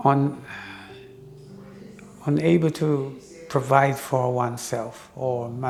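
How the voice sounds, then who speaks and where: A man's voice with ordinary pitch variation and big swings in loudness, long pauses coming often, music in the background. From Jamaica. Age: 80s+. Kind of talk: interview answer.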